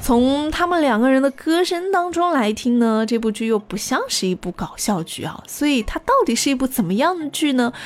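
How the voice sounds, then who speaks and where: Over noticeable background noise, a high-pitched woman swings very widely in pitch, keeping a moderate pace with hardly any pauses. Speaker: radio host. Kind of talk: music chart show presenting.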